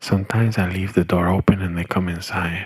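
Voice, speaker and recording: Putting on a character voice, a man rattles along at a very fast pace, raspy and very deep, low in pitch, with monotone, flat intonation. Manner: innocent.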